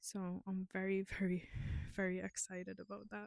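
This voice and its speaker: A woman with a non-native accent speaks at a medium pitch in a dry, close recording with no echo. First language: not English. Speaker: knitting vlogger. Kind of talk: casual chat. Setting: outdoors. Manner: chatty, hesitant with fillers.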